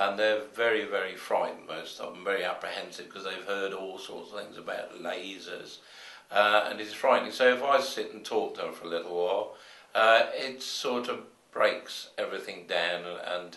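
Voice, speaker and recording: A man speaks at a moderate pace with big swings in loudness, and audible room echo surrounds his voice. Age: 70s. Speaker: hospital volunteer. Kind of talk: interview talk.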